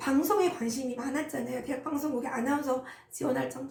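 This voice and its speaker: A woman with a high-pitched voice and ordinary pitch variation speaks in a room with audible echo. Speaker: insurance team leader. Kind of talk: personal story. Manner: casual, many fillers.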